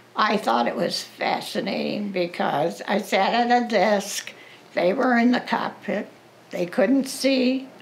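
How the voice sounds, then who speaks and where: A woman speaks at a very slow pace and a medium pitch, with ordinary pitch variation and very even loudness. Noticeable background noise runs beneath her voice. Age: 80s+. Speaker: World War II veteran. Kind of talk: interview answer. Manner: hesitant.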